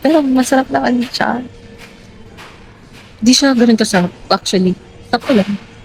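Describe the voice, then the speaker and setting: Music plays in the background as a woman speaks at a moderate pace with lively intonation. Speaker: lifestyle vlogger. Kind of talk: casual vlog talk. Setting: hotel lobby. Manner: halting, filler-heavy.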